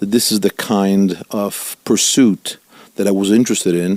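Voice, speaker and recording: In an Italian accent, a man speaks at a fairly low pitch and a fairly slow pace with flat, monotone intonation, the sound dry and close with no echo. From Italy, Milan. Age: 50s. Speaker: rabbi. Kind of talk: interview.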